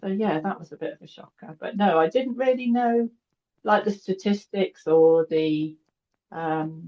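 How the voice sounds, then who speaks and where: Talking at a fairly slow pace, a woman with a British accent uses lively intonation and big swings in loudness. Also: medium pitch for a woman. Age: 60s. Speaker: cancer survivor interviewee. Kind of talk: interview.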